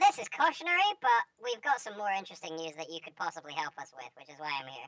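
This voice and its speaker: A woman does a put-on character voice at a fairly low pitch with lively intonation. She talks very fast, with big swings in loudness. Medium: actual play. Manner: casual, chatty.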